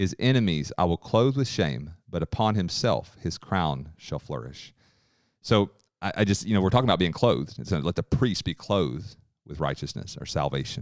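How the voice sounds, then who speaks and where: Heard in a very clean recording with a silent background, a man with a very deep, low pitch and vocal fry swings his pitch very widely at a moderate pace. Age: 30s. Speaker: podcast co-host and musician. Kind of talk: casual chat.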